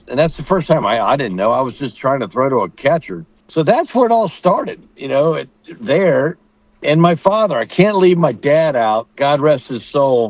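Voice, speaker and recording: At a moderate pace, a man with a fairly high pitch talks in very wide pitch swings. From United States, military family moving around. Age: 60s. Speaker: former pro baseball player. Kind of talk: casual interview.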